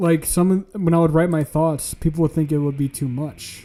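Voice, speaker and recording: This man has a dark, mellow tone. His pitch sits fairly high. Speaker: streamer. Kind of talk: casual chat.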